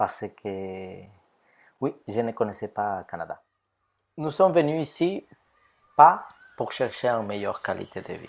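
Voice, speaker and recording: On a very clean recording with a silent background, a man with a Spanish accent talks at a fairly slow pace, with long, frequent pauses, big swings in loudness and very wide pitch swings. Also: medium pitch for a man. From Ecuador. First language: Spanish (speaking French). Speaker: photographer. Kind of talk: testimony.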